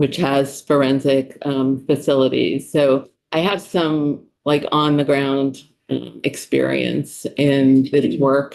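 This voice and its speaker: The speaker talks at a very slow pace with a New York accent. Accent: New York City. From US, New York City. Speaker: psychologist, state official testifying. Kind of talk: committee testimony. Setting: legislative committee room.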